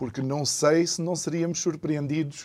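A man's dark, mellow tone, fairly even intonation and fairly slow pace, on a very clean recording with a silent background. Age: 40s. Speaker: radio and TV talk show host. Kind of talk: talk show interview. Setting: studio, simulcast TV and radio.

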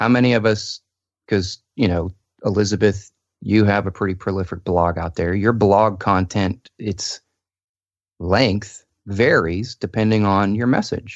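A normal speaking voice, a man at a fairly low pitch and fairly slow pace with fairly even intonation, dry, close sound with no echo and a quiet background. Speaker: vlogger and social media video expert. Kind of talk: casual interview chat.

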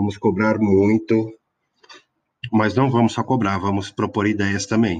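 A man's fairly low voice, fairly slow and monotone, with long, frequent pauses. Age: 40s. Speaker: political podcaster. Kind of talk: solo podcast introduction. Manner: casual with many hesitations.

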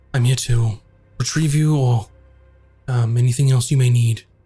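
In a put-on character voice, a man speaks with a calm tone at a moderate pace and medium pitch, faint music playing in the background. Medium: actual play. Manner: calm, formal, deferential.

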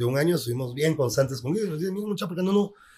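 A man talks with a Guatemalan accent. His voice is somewhat breathy. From Guatemala, Quetzaltenango. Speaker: photographer. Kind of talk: casual interview chat.

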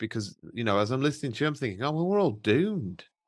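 On a very clean recording with a silent background, a man speaks with an English accent. His pitch is fairly high and his intonation lively. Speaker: podcast host. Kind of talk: interview conversation.

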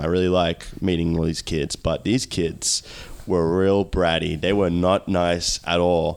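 A man with a very deep, low pitch and an Australian accent. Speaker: podcast host and pro wrestler. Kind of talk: casual chat.

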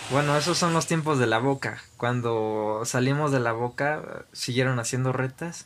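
It is a normal speaking voice at a fairly slow pace with hardly any pauses. Loudness stays very even and the intonation fairly even. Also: man, medium pitch for a man. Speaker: podcast host. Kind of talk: casual chat.

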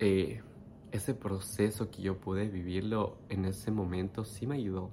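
The man here speaks with a fairly low pitch. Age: 30s. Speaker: meditation teacher and life coach. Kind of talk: personal storytelling monologue. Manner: unscripted, with hesitations.

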